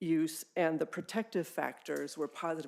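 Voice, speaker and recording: A woman speaks with an American accent at a very deep, low pitch. Vocal fry runs through her voice. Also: very clean recording, silent background. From US West Coast, California. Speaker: public health officer, public commenter. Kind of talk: public comment at a board meeting.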